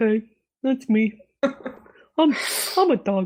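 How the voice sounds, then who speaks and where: A female-sounding voice, fairly high in pitch, performs a put-on character voice. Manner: goofy, dim-witted.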